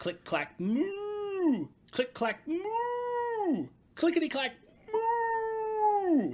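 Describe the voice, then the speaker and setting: A man puts on a character voice pitched extremely high. He speaks at a very slow pace. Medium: read story. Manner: polite, sing-song.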